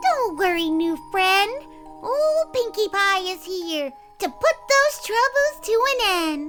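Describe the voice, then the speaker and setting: A female-sounding put-on character voice, extremely high in pitch, talks at a fairly slow pace with clear music in the background. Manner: upbeat, cheerful.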